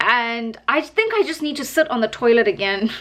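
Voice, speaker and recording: Amid noticeable background noise, a woman talks at a moderate pace, her pitch swinging very widely. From South Africa. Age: 30s. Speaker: vlogger. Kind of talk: casual vlog monologue. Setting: alone in her apartment. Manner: chatty, rambling with fillers.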